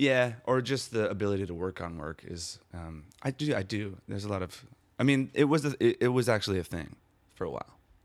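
A man talks at a fairly quick pace with lively intonation and a fairly low pitch. The recording is very clean, with a silent background. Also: big swings in loudness. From US Midwest, Milwaukee, Wisconsin. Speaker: theater artist. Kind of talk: interview. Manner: halting, many restarts.

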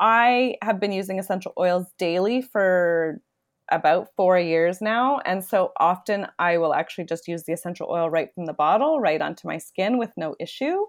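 A woman with a Canadian accent speaks at a moderate pace in an unremarkable speaking voice, at medium pitch with ordinary pitch variation. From Toronto, Canada. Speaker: wellness entrepreneur. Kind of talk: interview conversation.

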